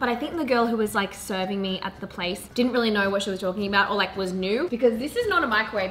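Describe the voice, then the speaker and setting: A woman speaks at a very fast pace against noticeable background noise. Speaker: lifestyle vlogger. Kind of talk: casual vlog chat. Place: kitchen. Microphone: camera far.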